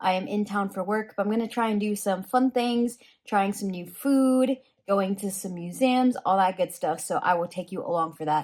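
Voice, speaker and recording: A woman of medium pitch speaks at a moderate pace with ordinary pitch variation. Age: 20s. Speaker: lifestyle and personal finance vlogger. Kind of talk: travel vlog. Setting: hotel room. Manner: casual, filler-heavy.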